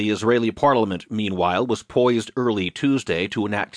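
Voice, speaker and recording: A man talks at a fairly quick pace with medium pitch and an unremarkable speaking voice. The sound is dry and close with no echo, over a quiet background. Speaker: audiobook newsreader. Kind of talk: formal news digest reading, scripted. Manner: formal, even-paced, neutral; steady, authoritative, sober headline delivery.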